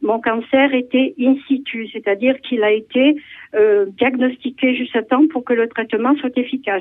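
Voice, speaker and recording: Her high pitch holds fairly even intonation as the woman speaks at a moderate pace. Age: 70s. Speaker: caller, breast cancer survivor. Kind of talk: testimony. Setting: phone call.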